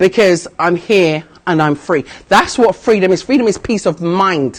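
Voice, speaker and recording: A woman's medium-pitched voice with a British accent, passionate in tone, at a fairly slow pace with long, frequent pauses, very even loudness and ordinary pitch variation. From United Kingdom. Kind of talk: interview answer. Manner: emphatic, passionate.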